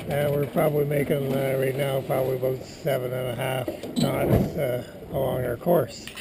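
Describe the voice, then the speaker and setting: Noticeable background noise fills the recording. A man speaks over it at a fairly slow pace. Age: 70s. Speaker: sailing crew member filming a boat tour. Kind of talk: casual video tour narration. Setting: outdoors on a sailboat at sea. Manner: casual with many filler words.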